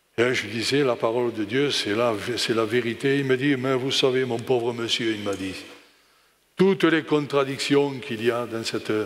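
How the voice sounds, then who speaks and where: A man talks at a medium pitch with ordinary pitch variation and big swings in loudness. The room echo is audible. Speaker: preacher. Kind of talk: sermon. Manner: slow, calm.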